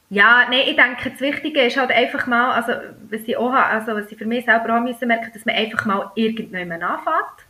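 Very fast and high-pitched, a woman with a Bernese accent talks with ordinary pitch variation and big swings in loudness. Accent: Bernese Swiss German dialect. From Switzerland, Bern. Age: 30s. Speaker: pharmacist and food blogger. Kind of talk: casual chat.

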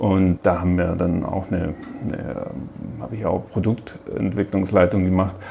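A man talks at a moderate pace in a very deep, low pitch with ordinary pitch variation. Noticeable background noise sits behind him. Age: 40s. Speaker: technical director. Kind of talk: interview. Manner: halting.

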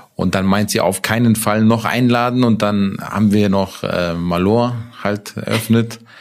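A man talks at a fairly low pitch and a fairly slow pace. His intonation stays monotone and flat, with noticeable background noise behind him. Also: very even loudness. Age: 30s. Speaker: food franchise owner. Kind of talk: casual interview. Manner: hesitant, many fillers.

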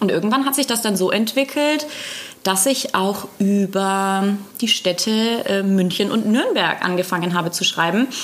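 Over noticeable background noise, a woman with a fairly high pitch speaks at a fairly slow pace with ordinary pitch variation. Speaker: podcast co-host and food blogger. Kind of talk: casual chat. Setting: studio.

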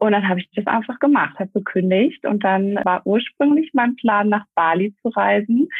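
A woman with a plain, everyday voice, medium in pitch, at a moderate pace. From Germany, Essen. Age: 30s. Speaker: network marketer. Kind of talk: interview.

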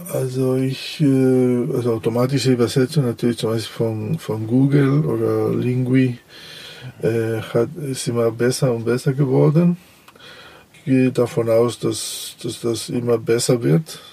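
Against noticeable background noise, a man with a Spanish accent and medium pitch talks at a fairly slow pace. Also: ordinary pitch variation. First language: Spanish (speaking German). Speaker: translator. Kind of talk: interview. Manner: halting, many fillers.

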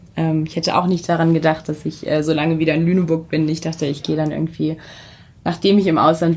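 Very deep and low, a woman's voice stays monotone and flat. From Germany, Weserbergland (Hameln). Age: 30s. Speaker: social media team lead. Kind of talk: interview. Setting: conference room.

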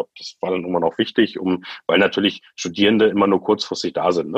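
A man at a fairly quick pace, in dry, close sound with no echo. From Lower Saxony, Germany (Göttingen). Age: 30s. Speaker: startup founder. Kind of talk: interview. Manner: halting, many fillers.

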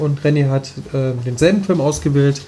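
There is noticeable background noise behind the speaker. A man talks at a moderate pace with ordinary pitch variation. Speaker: podcast co-host. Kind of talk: casual chat. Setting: studio.

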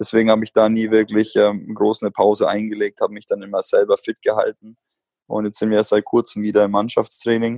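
Dry, close sound with no echo carries a man speaking at a fairly quick pace. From Germany, Bamberg (Franconia). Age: 30s. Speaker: professional basketball player. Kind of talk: interview. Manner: hesitant, many filler sounds.

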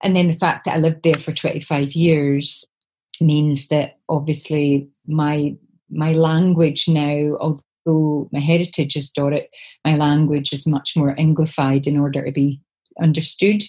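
A woman speaks with an Aberdeen accent, very deep and low in pitch, with a dark, mellow, somewhat breathy tone. Her delivery is fairly slow and flat, in a monotone. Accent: Scottish, north-east (Aberdeen). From Scotland, Aberdeen. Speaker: poet. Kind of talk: interview conversation. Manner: halting.

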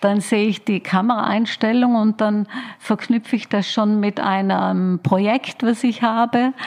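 A fairly high-pitched woman speaks at a fairly slow pace with fairly even intonation over noticeable background noise. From Austria, Tyrol (Oberland). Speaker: creative director and curator. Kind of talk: interview. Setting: her office.

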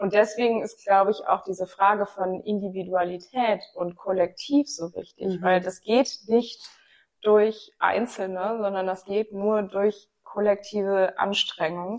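Fairly even intonation and a fairly slow pace mark an ordinary speaking voice. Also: woman, medium pitch for a woman. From Rhineland, Germany (Bonn). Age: 30s. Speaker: podcast host and gender equality advocate. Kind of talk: casual discussion.

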